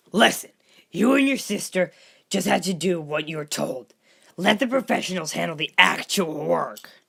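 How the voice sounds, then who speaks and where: Moderate pacing in a put-on character voice pitched in the middle range. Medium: read story. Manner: calm.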